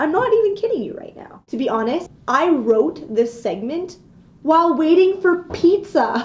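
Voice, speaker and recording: Her pitch swings very widely as the woman speaks in an animated, dramatic tone. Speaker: video blogger ranting comedic. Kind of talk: comedic rant, vlog-style casual monologue. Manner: animated, exaggerated, mock-dramatic; sarcastic, playful, self-joking. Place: office. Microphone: webcam.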